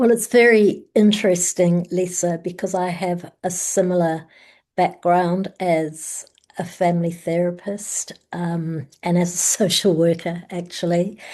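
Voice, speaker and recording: The voice has a dark, mellow tone and a New Zealand accent. It moves at a fairly slow pace with fairly even intonation. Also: woman, fairly low pitch for a woman. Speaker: family therapist. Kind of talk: panel discussion.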